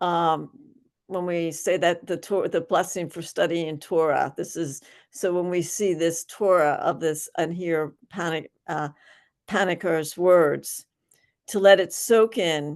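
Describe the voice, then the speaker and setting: The speaker has a Philadelphia accent and talks at a very slow pace. The intonation is fairly even, and the background is quiet. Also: woman, fairly low pitch for a woman. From Philadelphia, US. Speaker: workshop facilitator. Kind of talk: online workshop talk. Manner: halting, many fillers and restarts.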